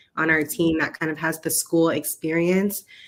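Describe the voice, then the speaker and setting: With an American accent, the speaker goes at a moderate pace in a monotone, flat intonation. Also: woman. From US, South Florida. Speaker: programs manager and doctoral student. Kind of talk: casual interview. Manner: articulate.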